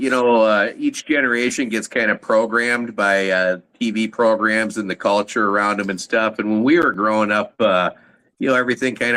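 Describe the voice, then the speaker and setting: At a moderate pace, a man speaks in a fairly low voice with a bright, sharp tone and fairly even intonation. The recording is very clean, with a silent background. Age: 50s. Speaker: podcast host, military veteran. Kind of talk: casual chat. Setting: live stream.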